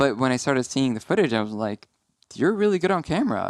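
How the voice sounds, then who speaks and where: A man mumbles at a fairly quick pace, his medium-pitched voice carrying lively intonation. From Syria (Aleppo). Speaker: film producer. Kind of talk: casual interview chat. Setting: podcast studio. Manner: mumbly; halting, many fillers.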